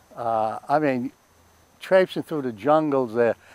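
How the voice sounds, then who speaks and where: A man with a Boston accent at a fairly slow pace, lively in intonation, the sound dry with no echo. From Boston, Massachusetts. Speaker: World War II Marine veteran. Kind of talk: oral history interview answer. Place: garden.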